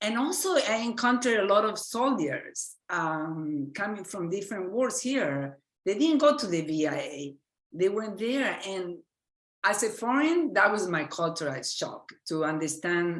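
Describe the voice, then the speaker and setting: In an Argentine accent, a woman speaks at a fairly slow pace with very wide pitch swings. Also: medium pitch for a woman. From Argentina. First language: Spanish. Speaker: physician and medical educator. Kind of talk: lecture. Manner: halting.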